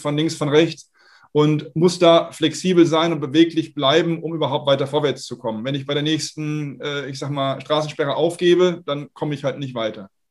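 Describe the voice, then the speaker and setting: A man with an unremarkable speaking voice, fairly high pitch, fairly even intonation and a moderate pace. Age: 40s. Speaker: startup founder and investor. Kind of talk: interview. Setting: video call.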